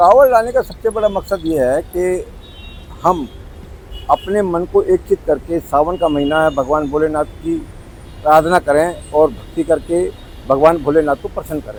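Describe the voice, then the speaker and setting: A man speaks in a high voice against noticeable background noise. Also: ordinary pitch variation. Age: 60s. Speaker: pilgrim. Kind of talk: street interview.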